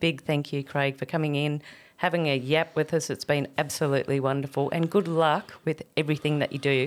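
A woman in an Australian accent, very deep and low in pitch, animated in tone, at a moderate pace with hardly any pauses, on a very clean recording with a silent background. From Australia (Tamworth, NSW). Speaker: podcast host and children's show performer. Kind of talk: casual chat. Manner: animated, laughing often.

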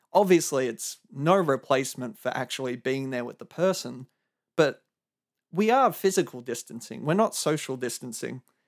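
With an Australian accent, a man speaks at a medium pitch with lively intonation. The sound is dry and close, with no echo. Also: moderate pace, very clean recording, silent background. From Melbourne, Australia. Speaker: podcast host. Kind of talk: solo monologue podcast.

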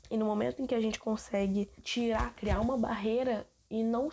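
Pitched fairly high, a woman with a normal speaking voice talks with ordinary pitch variation. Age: 20s. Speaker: podcaster, university student. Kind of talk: casual solo monologue. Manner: informal, rambling conversational.

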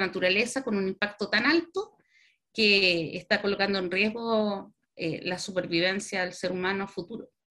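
Bright and sharp in tone, a woman speaks at a fairly slow pace. Her pitch is medium, with ordinary pitch variation. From Chile. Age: 40s. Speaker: veterinarian and university sustainability coordinator. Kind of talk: interview.

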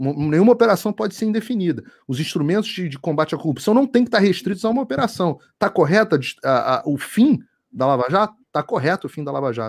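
In a Carioca accent, a man speaks at a very fast pace with a high voice that makes very wide pitch swings, on a very clean recording with a silent background. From Rio de Janeiro, Brazil. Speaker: journalist. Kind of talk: casual chat.

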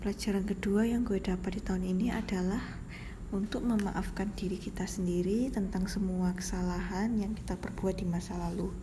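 Someone whispers at a very even loudness, with audible room echo. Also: woman, fairly quick pace. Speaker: podcast host. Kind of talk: personal monologue. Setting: hospital. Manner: semi-whispered. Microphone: too quiet.

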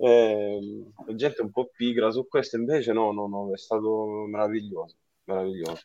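This man has a fairly low pitch and a dark, mellow tone. He keeps a moderate pace with fairly even intonation. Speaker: rock keyboardist. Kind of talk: casual interview chat.

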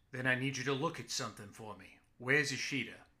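A man rattles along at a very fast pace in a gruff, put-on character voice at medium pitch, his intonation fairly even while his loudness swings a lot. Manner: curt, demanding, dry amusement.

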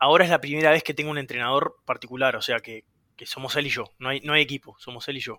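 In a Uruguayan accent, a man talks at a very fast pace with a fairly high pitch and a bright, sharp tone. His intonation is fairly even, his loudness swings widely, and the sound is dry and close with no echo. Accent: Uruguayan Rioplatense Spanish. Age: 20s. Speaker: competitive swimmer. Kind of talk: casual chat.

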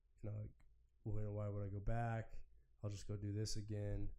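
There is audible room echo as a man talks at a moderate pace. His fairly low voice has a dark, mellow tone and ordinary pitch variation. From Oregon, US. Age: 30s. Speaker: business owner. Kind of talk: casual chat.

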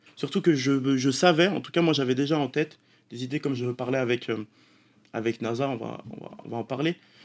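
Big swings in loudness mark a man's unremarkable speaking voice, which moves at a fairly quick pace with a medium pitch and ordinary pitch variation. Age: 20s. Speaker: esports player. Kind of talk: interview. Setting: studio.

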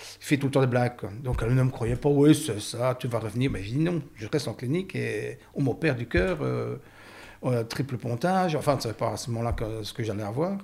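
Lively intonation and vocal fry mark this man's medium-pitched voice as he speaks at a moderate pace. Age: 60s. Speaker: heart surgery patient. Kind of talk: testimony. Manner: halting.

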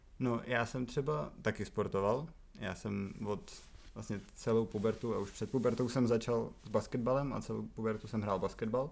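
This man has an unremarkable speaking voice with a medium pitch. He talks at a moderate pace with ordinary pitch variation. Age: 20s. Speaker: podcast guest, host's flatmate. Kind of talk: casual interview.

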